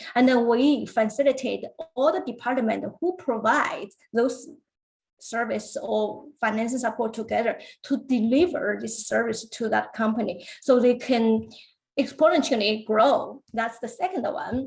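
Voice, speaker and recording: A woman's fairly high voice with vocal fry. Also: ordinary pitch variation, fairly slow pace. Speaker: government business funding officer. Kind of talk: webinar presentation. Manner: hesitant, many fillers.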